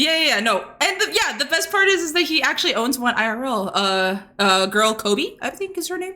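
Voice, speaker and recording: A woman with a high pitch and very wide pitch swings projects a raised voice in an animated tone at a fairly quick pace. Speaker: VTuber podcast co-host. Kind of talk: casual chat. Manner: stutters.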